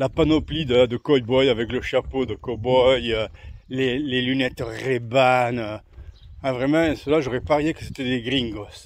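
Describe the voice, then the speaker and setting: A man's medium-pitched voice, fairly slow and fairly even in intonation. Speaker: pilgrim vlogger. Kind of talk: walking vlog monologue. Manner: casual, hesitant with fillers.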